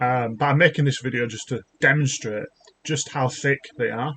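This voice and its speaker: This man speaks at a moderate pace in a British accent, his pitch medium with ordinary variation. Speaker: YouTuber, junior developer. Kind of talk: casual rant, software demo. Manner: halting, many fillers and restarts. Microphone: laptop mic.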